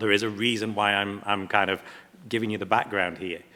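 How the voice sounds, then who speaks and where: Fairly low in pitch, a man speaks with an English accent and a bright, sharp tone. His intonation stays fairly even. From England. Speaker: platinum refining company representative. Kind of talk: panel presentation.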